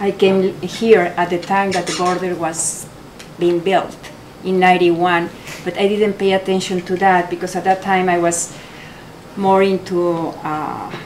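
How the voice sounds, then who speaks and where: In a strong Mexican accent, a woman talks fairly slowly at a medium pitch. Her intonation is monotone and flat, with noticeable background noise behind her. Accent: heavy Mexican Spanish. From Mexico. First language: Spanish. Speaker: photographer, artist. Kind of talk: gallery talk. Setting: art gallery with audience. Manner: halting.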